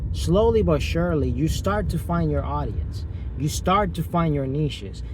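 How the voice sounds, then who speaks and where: Moderate pace and ordinary pitch variation amid audible room echo and noticeable background noise. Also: man, very deep, low pitch for a man. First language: Spanish. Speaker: YouTuber. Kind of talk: motivational vlog. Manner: animated.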